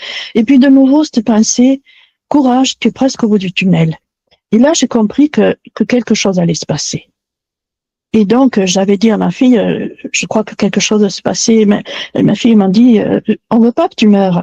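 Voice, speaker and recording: With a dark, mellow, somewhat breathy tone, the voice moves at a moderate pace with ordinary pitch variation and big swings in loudness, in a dry, close sound with no echo. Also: woman, fairly high pitch for a woman. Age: 70s. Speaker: testimony guest. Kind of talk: testimony.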